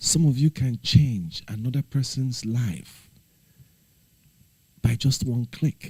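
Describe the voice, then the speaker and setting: A man speaks very slowly with long, frequent pauses in a somewhat breathy, dark, mellow tone at a medium pitch, using ordinary pitch variation, with a dry, close sound and no echo. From Nigeria. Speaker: livestreamer. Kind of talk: casual livestream chat. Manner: earnest, pleading.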